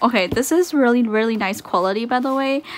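High-pitched voice of a woman. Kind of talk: casual unboxing chat. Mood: excited, delighted. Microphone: phone near.

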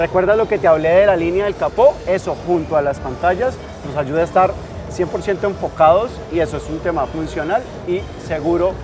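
A man's high-pitched voice at a moderate pace with ordinary pitch variation, over clear background music. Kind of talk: product presentation in an interview. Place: hall.

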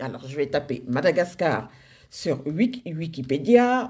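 Very slow and marked by very wide pitch swings, a woman's voice plays out over a quiet background. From Senegal. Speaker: social media group moderator. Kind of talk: casual live video address. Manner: hesitant, many fillers. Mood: warm, enthusiastic. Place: home room. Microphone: phone near.

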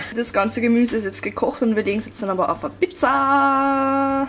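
Music plays in the background. A woman speaks at a fairly high pitch with ordinary pitch variation. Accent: Upper Austrian. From Upper Austria. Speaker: vegan lifestyle vlogger. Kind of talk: casual vlog talk to camera.

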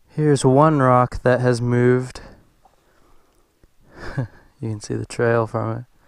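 In a dry sound with no echo and a quiet background, a man speaks very slowly with fairly even intonation. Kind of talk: casual vlog chat. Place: open country. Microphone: helmet.

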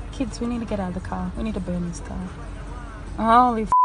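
Background noise is noticeable. A woman speaks with a fairly high pitch. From Melbourne, Australia. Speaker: mother and parenting blogger. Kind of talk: casual self-filmed live commentary. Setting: inside a car. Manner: screaming, swearing.

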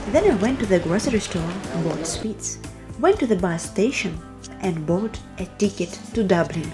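A woman's voice at a moderate pace, with music in the background. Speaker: coffee shop worker. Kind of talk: vlog narration.

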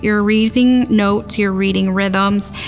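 A woman speaking at a moderate pace over background music. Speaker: music teacher. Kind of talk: interview answer. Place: classroom.

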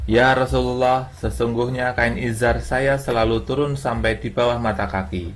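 A man talks at a fairly slow pace in a fairly low pitch. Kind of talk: casual religious advice, reading a hadith. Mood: calm, persuasive. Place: home room. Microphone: phone near.

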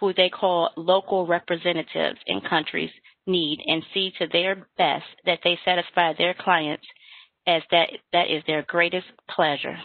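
A woman speaks at a fairly slow pace with a fairly low pitch and monotone, flat intonation. The background is quiet and the sound is dry with no echo. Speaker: webinar moderator. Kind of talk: webinar hosting. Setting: video call. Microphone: video call.

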